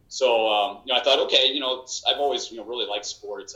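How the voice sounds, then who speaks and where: Speaking at a very fast clip, a man talks with an American accent. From Illinois, US Midwest. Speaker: hockey announcer. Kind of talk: casual chat.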